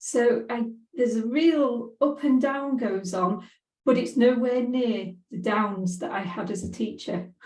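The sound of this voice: A woman's slightly mellow voice at a slow pace, with audible room echo. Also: fairly high pitch for a woman, ordinary pitch variation.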